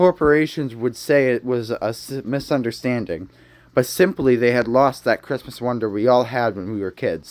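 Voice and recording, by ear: A natural voice reading aloud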